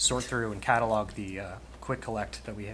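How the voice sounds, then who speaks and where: A man with an American accent talks at a very fast pace in a monotone, flat delivery, with audible room echo and noticeable background noise. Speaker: township committee member. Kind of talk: public meeting discussion. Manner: soft-spoken.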